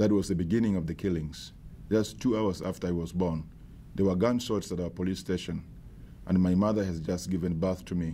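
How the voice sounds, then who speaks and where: Speaking at a fairly quick pace, a man with a South Sudanese accent has a very deep, low pitch, a dark, mellow tone and ordinary pitch variation. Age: 50s. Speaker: bishop. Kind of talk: advocacy testimony to camera.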